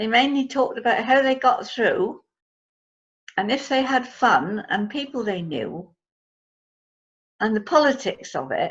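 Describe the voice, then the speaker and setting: Pausing long and often, a woman speaks at a fairly slow pace in a high voice with lively intonation. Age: 80s+. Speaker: storyteller. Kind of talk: oral history storytelling. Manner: conversational, with hesitations.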